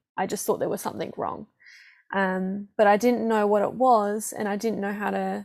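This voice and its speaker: A woman with a mid-range voice keeps a moderate tempo, her intonation flat and monotone. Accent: Australian. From Perth, Western Australia. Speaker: healing and breathwork practitioner. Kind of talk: casual interview chat.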